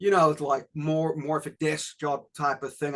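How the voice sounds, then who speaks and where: With a slight South African accent, a man speaks at a moderate pace in a fairly high pitch. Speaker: reggae musician, former Marine. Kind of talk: interview. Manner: casual, with many fillers and repetitions.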